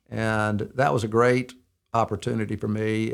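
An Alabama accent on a very clean recording with a silent background. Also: man. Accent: Southern US (Alabama). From US South, Birmingham, Alabama. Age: 60s. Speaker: ministry director and counselor to businessmen. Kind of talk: interview, telling life story. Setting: studio.

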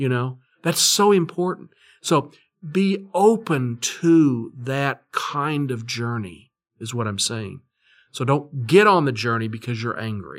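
A man with a Texan accent talks at a very slow pace with very wide pitch swings. The recording is very clean, with a silent background. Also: medium pitch for a man. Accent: Texan American. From Texas, Fort Worth. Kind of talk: interview. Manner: halting.

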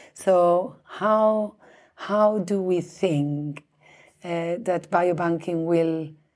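A woman speaks in a Spanish accent with a dark, mellow tone. The recording is very clean, with a silent background. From Spain. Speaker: biobank director. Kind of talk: interview. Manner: halting, many fillers and restarts.

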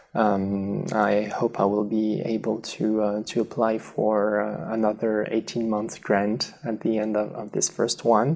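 A man with a French accent speaks at a fairly low pitch and a fairly slow pace. His intonation is monotone and flat, with hardly any pauses. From southwest France. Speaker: radiation biology researcher. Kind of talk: interview. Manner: halting.

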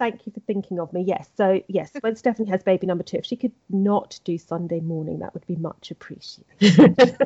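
A woman with an English accent talks at a fairly quick pace with hardly any pauses. Her medium-pitched voice is somewhat breathy, with ordinary pitch variation. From England. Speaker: podcast host, royal news editor. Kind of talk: casual chat.

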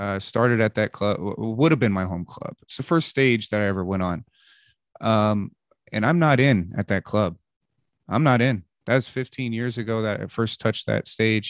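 A plain, everyday voice from a man with an American accent, fairly low in pitch, at a moderate pace with ordinary pitch variation, dry and close with no echo over a quiet background. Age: 30s. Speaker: stand-up comedian. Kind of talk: casual interview conversation.

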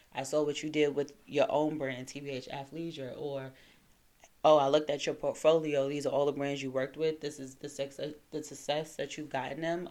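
Her very deep, low voice carries an American accent and a monotone, flat intonation at a moderate pace. The woman's loudness swings widely. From New York, Brooklyn (Crown Heights). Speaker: PR and marketing firm founder. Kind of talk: casual chat.

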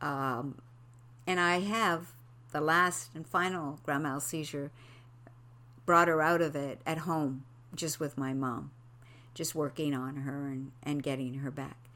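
Her pitch very deep and low, a woman speaks in a bright, sharp tone. She moves at a fairly slow pace with long, frequent pauses. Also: ordinary pitch variation. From Quebec, Canada. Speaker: podcaster and mother sharing her story. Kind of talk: personal testimony monologue. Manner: halting, many fillers.

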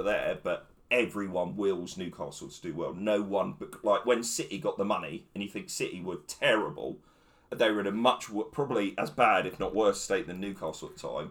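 The recording is very clean, and the background is silent. This man's pace is fairly quick. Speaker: football pundit. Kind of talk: casual chat. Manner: talkative.

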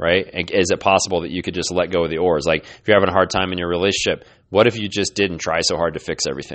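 With hardly any pauses and fairly even intonation, a man talks at a very fast pace in a very deep, low pitch. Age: 40s. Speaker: podcast host and health coach. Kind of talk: solo podcast monologue. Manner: casual, with frequent fillers and repetitions.

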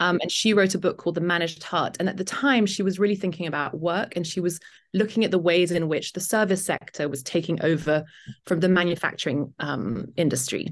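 With a British accent, a woman talks at a fairly quick pace in a fairly low pitch with ordinary pitch variation against a quiet background. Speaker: author and journalist. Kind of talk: casual interview.

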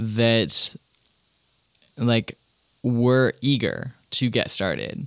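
A man talks at a very slow pace in a medium pitch with ordinary variation. The sound is dry and close, with no echo. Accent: American. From US Midwest, Goshen, Indiana. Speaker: city council candidate. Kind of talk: casual interview.

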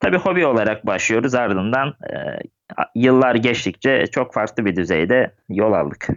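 A man with a medium-pitched voice speaks at a fairly slow pace with lively intonation. He has an unremarkable speaking voice. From Turkey, Gebze (Kocaeli). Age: 20s. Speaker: cycling club president. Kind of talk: podcast interview.

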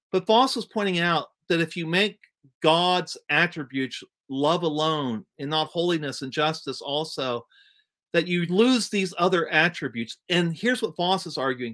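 A man with an American accent speaks high-pitched at a moderate pace, in a bright, sharp tone with lively intonation, on a very clean recording with a silent background. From US Midwest, East Central Ohio. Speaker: church administrator and ordained minister. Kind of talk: interview.

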